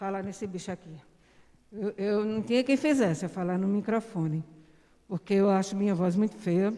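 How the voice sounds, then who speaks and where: A woman of medium pitch speaks at a moderate pace with fairly even intonation. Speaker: church member. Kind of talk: testimony.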